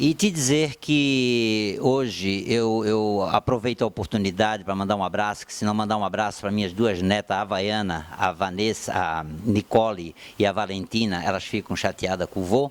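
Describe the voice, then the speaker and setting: A man talks at a moderate pace with hardly any pauses, in an ordinary speaking voice. His pitch sits fairly low with ordinary variation. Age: 60s. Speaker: former footballer. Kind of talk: sports debate panel.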